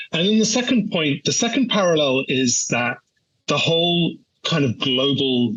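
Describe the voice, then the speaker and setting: A man with a British accent speaks at a moderate pace with lively intonation. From UK. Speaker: energy policy analyst. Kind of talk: interview answer. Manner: hesitant, many fillers and repeats.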